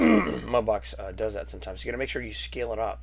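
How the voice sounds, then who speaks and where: The speech moves at a fairly quick pace. Room echo is audible, and background noise is noticeable. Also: man. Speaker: 3D art instructor. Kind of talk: tutorial. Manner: casual.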